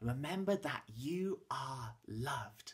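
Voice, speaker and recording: A man speaks at a very slow pace, with vocal fry and very wide pitch swings. The background is quiet. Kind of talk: warm address to a school audience. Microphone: webcam.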